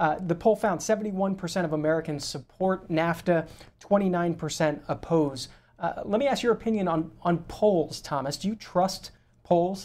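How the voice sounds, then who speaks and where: A man speaks with a high pitch. His pitch varies in an ordinary way. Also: fairly slow pace. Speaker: TV call-in show host. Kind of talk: TV call-in interview. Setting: TV studio. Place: studio. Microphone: lapel.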